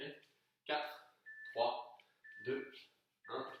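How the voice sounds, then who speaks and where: The voice belongs to a man. Audible room echo surrounds it. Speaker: fitness coach. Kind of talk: workout instruction. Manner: soft-spoken.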